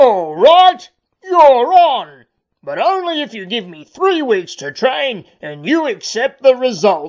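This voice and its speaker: A female-sounding put-on character voice, high-pitched with very wide pitch swings, goes at a fairly slow pace. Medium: read story.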